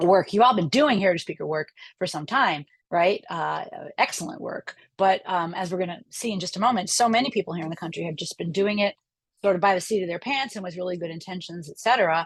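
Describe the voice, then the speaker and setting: The speaker talks at a very fast pace with an American accent, somewhat breathy and with ordinary pitch variation. Loudness swings widely from moment to moment. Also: woman, medium pitch for a woman. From New York, Long Island. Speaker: professor. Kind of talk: lecture. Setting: video call. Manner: casual, with many fillers.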